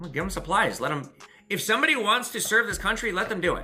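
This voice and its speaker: Lively intonation comes through in an American accent. Noticeable background noise and audible room echo surround the voice. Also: man. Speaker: pawn shop owner and YouTuber. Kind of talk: casual Q&A chat to camera. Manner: fast.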